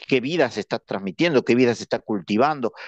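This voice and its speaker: A man speaks with ordinary pitch variation. The sound is dry and close with no echo, over a quiet background. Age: 60s. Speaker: religious brother giving a talk. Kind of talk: lecture. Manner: halting.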